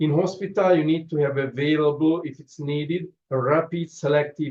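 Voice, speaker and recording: A man with a non-native accent speaks at a moderate pace in a fairly high voice with fairly even intonation. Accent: noticeable foreign. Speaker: trauma surgeon. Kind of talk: lecture. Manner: halting, frequent fillers.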